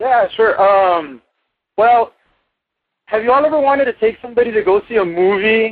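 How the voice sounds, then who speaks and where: Speaking with an American accent, a man with a high pitch talks at a moderate pace, keeping very even loudness and ordinary pitch variation, with long, frequent pauses. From South Texas. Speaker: caller. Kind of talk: call-in question to a podcast. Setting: phone call.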